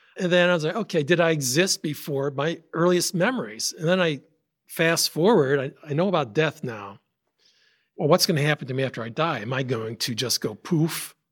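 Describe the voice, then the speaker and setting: A man with an American accent talks at a fairly quick pace in a fairly high pitch, with lively intonation and a normal speaking voice. The recording is very clean, its background silent. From upstate New York. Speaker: software engineer, religious podcast guest. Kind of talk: personal testimony.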